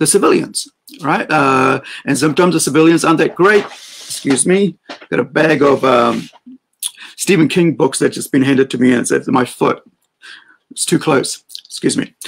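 The speaker keeps a moderate pace with ordinary pitch variation and long, frequent pauses. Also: man. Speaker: livestream host. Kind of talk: opinion commentary. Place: home room. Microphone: webcam.

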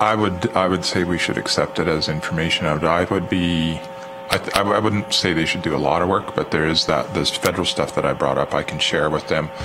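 An extremely low-pitched male voice at a fairly quick pace, with fairly even intonation and clear background noise

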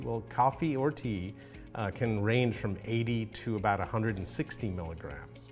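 Faint music plays in the background as a man with a fairly low pitch talks with ordinary pitch variation. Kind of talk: lecture. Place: home room.

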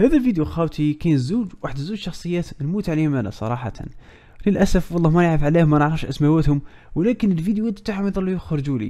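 With an Algerian accent, a man speaks at a very fast pace in a dark, mellow tone with lively intonation. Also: fairly high pitch for a man. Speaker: news commentary youtuber. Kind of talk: casual commentary.

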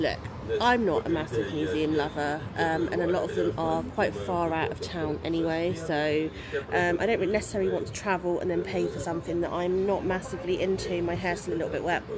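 Noticeable background noise runs behind a woman talking at a fairly quick pace. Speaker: travel vlogger. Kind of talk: casual vlog chat. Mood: relaxed, chatty. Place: cafe. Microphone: phone near.

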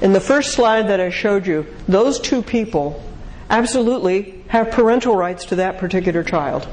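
Her pace moderate, a woman speaks with ordinary pitch variation. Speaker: speaker answering audience questions on marriage; speaker. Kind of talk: lecture Q&A. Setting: stage with audience. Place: hall.

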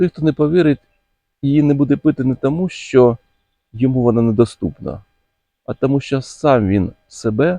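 A man at medium pitch, with a dark, mellow tone, ordinary pitch variation, a moderate pace and a dry, close sound with no echo.

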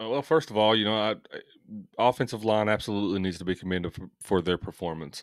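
Against a quiet background, a man talks very fast in a fairly low voice, the sound dry with no echo. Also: ordinary pitch variation. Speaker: sports podcast co-host. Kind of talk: casual sports chat. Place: home room. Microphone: studio mic.

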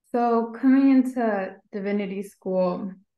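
In an American accent, a woman speaks at medium pitch with fairly even intonation, against a quiet background with audible room echo. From US Midwest, Indiana. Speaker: graduate student; panelist. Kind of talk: webinar panel discussion. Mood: warm, friendly, smiling. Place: home room. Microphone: video call.

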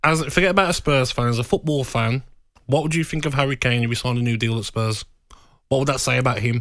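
A man talks at a very fast pace over a quiet background, the sound dry with no echo. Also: ordinary pitch variation. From England. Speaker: radio co-host. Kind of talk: heated argument. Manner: animated. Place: studio. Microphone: studio mic.

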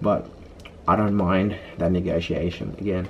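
A man speaks at a fairly slow pace in a low pitch, with little pitch movement.

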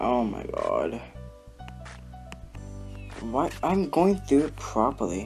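A man talks very slowly, leaving long, frequent pauses, while music plays in the background. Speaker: gamer, level reviewer. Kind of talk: gameplay commentary.

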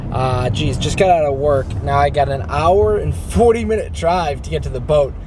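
A man talks at a moderate pace. The sound is dry with no echo, with noticeable background noise. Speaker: vlogger. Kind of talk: casual vlog chat. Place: car. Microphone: phone near.

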